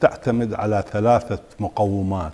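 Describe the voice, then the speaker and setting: Speaking very slowly in an Iraqi accent, a man keeps his intonation fairly even. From Iraq, Suwayra (Wasit). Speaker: architect and professor; guest. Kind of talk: interview. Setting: studio. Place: studio. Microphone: lapel.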